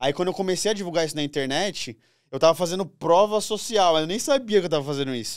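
Against a quiet background, a high-pitched man speaks very fast with lively intonation. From Brazil. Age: 20s. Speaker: lawyer turned digital marketer and finance creator; podcast guest. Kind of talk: casual podcast interview. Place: studio. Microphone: studio mic.

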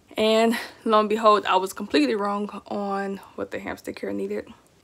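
A woman speaks with an American accent and fairly even intonation. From Texas. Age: 20s. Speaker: pet YouTuber. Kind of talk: casual vlog monologue. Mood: relaxed, chatty. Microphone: phone near.

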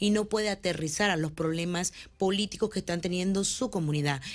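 A woman at a fairly quick pace with lively intonation. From Nicaragua. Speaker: businesswoman and political candidate; candidate. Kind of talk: campaign interview. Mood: earnest, persuasive. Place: studio. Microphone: studio mic.

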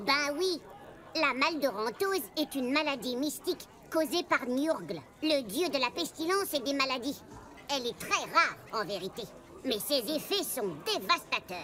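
Through clear background noise, a woman with a high pitch talks at a moderate pace, her pitch swinging very widely. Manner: lecturing, sarcastic.

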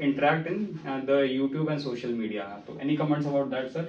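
A man with an Indian accent talks very fast at a fairly high pitch, with ordinary pitch variation. Audible room echo surrounds his voice. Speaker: laparoscopic surgeon and trainer. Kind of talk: casual interview introduction. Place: office.

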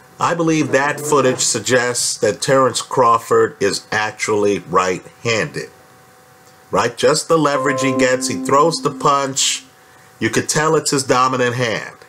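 A man talking fairly slowly with ordinary pitch variation over noticeable background noise. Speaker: boxing commentator. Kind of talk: commentary. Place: home room. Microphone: webcam.

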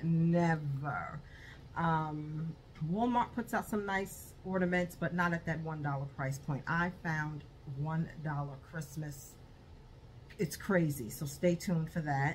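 A somewhat breathy woman at a fairly low pitch, very slow pace and long, frequent pauses, over light background noise. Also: ordinary pitch variation. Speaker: haul vlogger. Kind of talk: casual vlog chat. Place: home room. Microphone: phone near.

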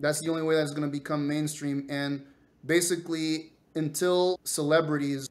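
A man speaks at a moderate pace in a flat monotone. His pitch is fairly high. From Venezuela. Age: 50s. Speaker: space scientist. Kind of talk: interview. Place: home room.

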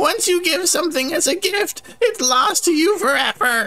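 This is a put-on character voice. The pitch swings very widely. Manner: menacing, taunting, greedy.

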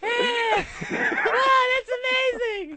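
The speaker uses a put-on character voice. Its pitch is extremely high.

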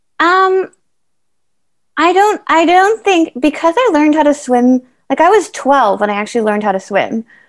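With a quiet background, a woman speaks at a high pitch and a moderate pace, her loudness very even while her pitch swings very widely. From Canada. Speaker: para triathlete; interviewee. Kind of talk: interview, casual chat. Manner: hesitant with many fillers. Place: home room. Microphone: video call.

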